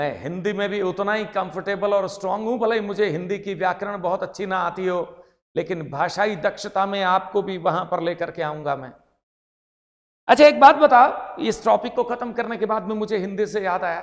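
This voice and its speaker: This man's voice sits high in pitch and varies in an ordinary way. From Rajasthan (Marwari). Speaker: English teacher. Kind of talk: lecture.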